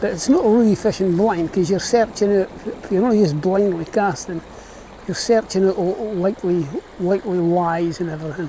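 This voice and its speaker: Over noticeable background noise, a man with a Scottish accent speaks in a high pitch with fairly even intonation. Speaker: fly fisherman. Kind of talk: casual talk to camera. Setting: outdoors.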